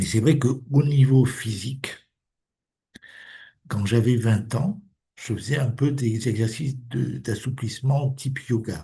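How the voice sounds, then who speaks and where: A man with a dark, mellow, somewhat breathy tone speaks at a medium pitch with ordinary pitch variation. He goes very slowly, with long, frequent pauses. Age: 70s. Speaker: alternative medicine practitioner. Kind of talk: casual interview conversation.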